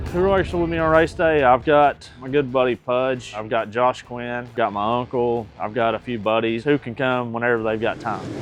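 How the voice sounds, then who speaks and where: Over music in the background, a man with an East Tennessee accent talks with hardly any pauses and ordinary pitch variation. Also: medium pitch for a man, moderate pace. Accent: Southern US (East Tennessee). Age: 30s. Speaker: race car driver. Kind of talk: interview. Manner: casual.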